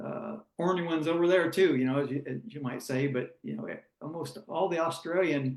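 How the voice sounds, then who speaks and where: An ordinary speaking voice from a man with an American accent, fairly high in pitch, with ordinary pitch variation and a fairly quick pace. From United States. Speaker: former sprint car driver. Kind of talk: interview.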